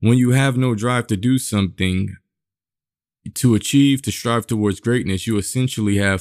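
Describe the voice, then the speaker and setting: In an unremarkable speaking voice, a man with an American accent talks at a moderate pace, his pitch fairly low and his intonation fairly even, on a very clean recording with a silent background. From US, inner-city public housing. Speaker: podcast host. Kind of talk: monologue commentary.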